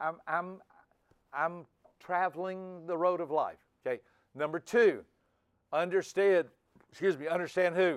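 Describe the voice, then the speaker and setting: A man with a high pitch, fairly slow pace, fairly even intonation and long, frequent pauses. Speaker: personality trainer. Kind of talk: seminar lecture.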